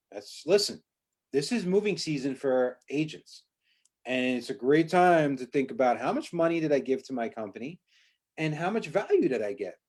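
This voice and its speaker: Lively intonation at a moderate pace, on a very clean recording with a silent background. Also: man, fairly high pitch for a man. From Long Island, New York. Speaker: real estate broker and podcast host. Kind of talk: casual chat. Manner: animated.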